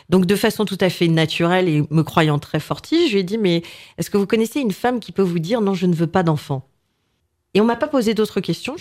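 A woman with a normal speaking voice, medium pitch and lively intonation, at a fairly quick pace. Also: very clean recording, silent background. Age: 40s. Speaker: business owner. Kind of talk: casual chat.

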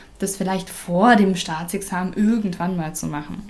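The speaker is a woman talking at a fairly slow pace. Background noise is noticeable. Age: 20s. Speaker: former language exchange facilitator, teacher trainee. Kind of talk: casual interview.

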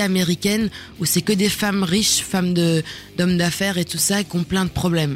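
Against noticeable background noise, a woman with a medium pitch speaks in a monotone, flat intonation. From Germany. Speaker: musician and actress. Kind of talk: casual interview. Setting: radio studio.

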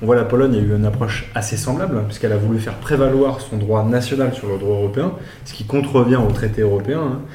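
Very fast speech from a man with ordinary pitch variation comes through noticeable background noise. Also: medium pitch for a man. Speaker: podcast host. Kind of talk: live-streamed political interview.

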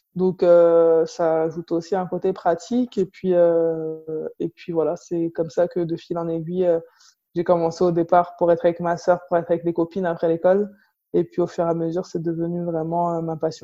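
A woman speaks in a dark, mellow tone at a fairly low pitch. Her pace is moderate and her intonation monotone and flat. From Paris suburbs, Seine-Saint-Denis. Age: 20s. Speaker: professional basketball player. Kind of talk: interview. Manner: halting.

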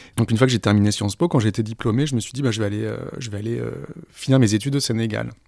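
A man talking very fast, with fairly even intonation. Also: medium pitch for a man. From southern France, Aix-en-Provence. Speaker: journalist and podcaster. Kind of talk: interview conversation. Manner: hesitant, many repetitions.

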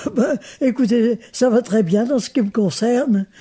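At a very slow pace, a woman speaks with a fairly high pitch, a dark, mellow tone and ordinary pitch variation. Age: 80s+. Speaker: retirement home resident. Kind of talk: interview. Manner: halting.

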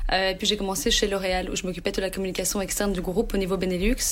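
Over noticeable background noise, a woman with a medium pitch talks at a very fast pace. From Brussels, Belgium. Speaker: pitchside football reporter. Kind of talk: interview. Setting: studio.

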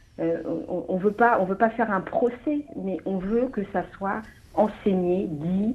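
Over noticeable background noise, a woman talks at a very slow pace with long, frequent pauses. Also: medium pitch for a woman, ordinary pitch variation. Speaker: deputy mayor, petition activist. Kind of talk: radio interview.

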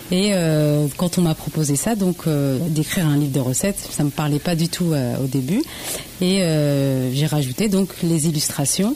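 A woman speaks at a fairly slow pace in a very deep, low pitch with ordinary pitch variation. Her loudness stays very even over noticeable background noise. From Normandy, France (Le Havre), Laotian family. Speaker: home cook and social media food creator. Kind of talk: casual interview.

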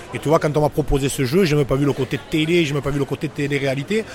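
Very fast delivery with ordinary pitch variation over noticeable background noise. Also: man. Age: 40s. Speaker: former rugby player and shop owner. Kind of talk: casual interview. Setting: bar. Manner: halting, many repetitions.

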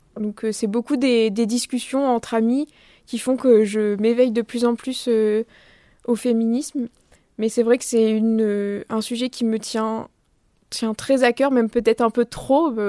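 In a very clean recording with a silent background, a woman speaks in a dark, mellow tone at a fairly high pitch and a fairly slow pace. Her intonation is monotone and flat, with long, frequent pauses and a dry, close sound with no echo. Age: 20s. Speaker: literature student and theatre worker. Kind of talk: interview.

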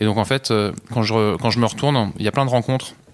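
A man talks at a fairly quick pace with fairly even intonation. His pitch is fairly low. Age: 40s. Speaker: offshore sailor. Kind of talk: interview. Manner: halting.

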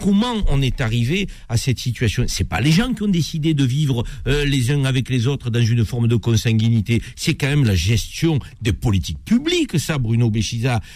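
With lively intonation and a somewhat breathy medium-pitched voice, a man speaks at a moderate pace and very even loudness. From France. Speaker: radio host. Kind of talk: radio talk show. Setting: studio.

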